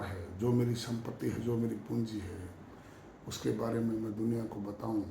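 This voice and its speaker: Noticeable background noise and audible room echo come through as a man speaks at a medium pitch with monotone, flat intonation. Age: 60s. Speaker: yoga practitioner sharing health advice. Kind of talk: monologue talk to camera.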